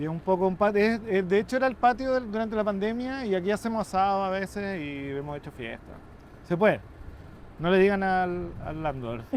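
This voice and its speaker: A man's high-pitched voice with lively intonation at a fairly quick pace. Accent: Chilean. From Chile. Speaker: journalist and photographer. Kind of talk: interview conversation. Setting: rooftop, outdoors.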